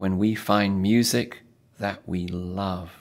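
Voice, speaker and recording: A man's put-on character voice, very deep and low in pitch, at a very slow pace with fairly even intonation. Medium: read story.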